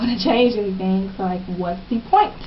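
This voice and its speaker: Noticeable background noise accompanies a woman speaking at a fairly quick pace with ordinary pitch variation. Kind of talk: casual advice talk to camera.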